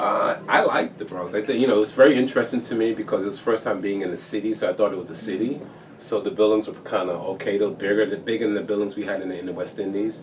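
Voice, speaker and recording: A man with an American accent and a fairly low pitch talks at a very fast pace with hardly any pauses. His intonation is fairly even, and there is noticeable background noise. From Antigua. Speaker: architect and former Olympian. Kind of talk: oral history interview. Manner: hesitant, with frequent repetitions.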